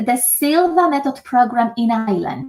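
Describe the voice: With a Polish accent, a woman talks at a fairly slow pace in a high pitch with a slightly mellow tone.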